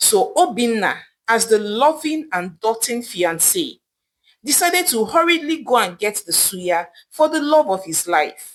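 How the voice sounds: A woman with a fairly high pitch talks at a fairly slow pace, her pitch swinging widely.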